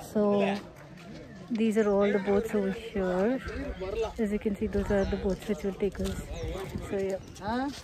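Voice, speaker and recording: A woman's fairly even intonation at a fairly slow pace, dry and echo-free, with noticeable background noise. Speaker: travel vlogger. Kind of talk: casual vlog chat. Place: waterside. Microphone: phone near.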